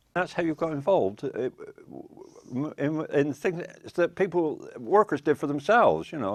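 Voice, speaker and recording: A man with a Wiltshire accent talks at a moderate pace, with vocal fry. The background is quiet. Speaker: retired railway worker. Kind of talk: oral history interview. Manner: halting.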